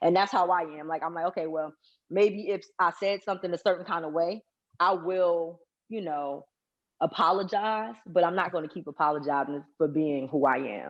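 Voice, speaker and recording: Against a quiet background, the voice keeps a moderate pace with ordinary pitch variation. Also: woman, fairly low pitch for a woman. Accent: American. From US Northeast, Newark, New Jersey. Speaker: author. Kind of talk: interview. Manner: direct, straightforward.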